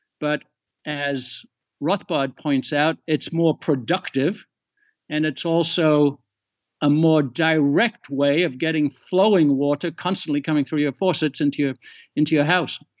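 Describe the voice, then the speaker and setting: This man has an English accent and a fairly high pitch. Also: fairly even intonation, fairly slow pace. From England. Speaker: economics podcaster. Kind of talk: casual chat.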